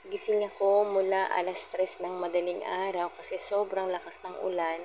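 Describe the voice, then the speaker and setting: Soft-spoken and in a flat monotone, a woman talks at a fairly slow pace over noticeable background noise. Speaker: vlogger. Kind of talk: casual vlog narration.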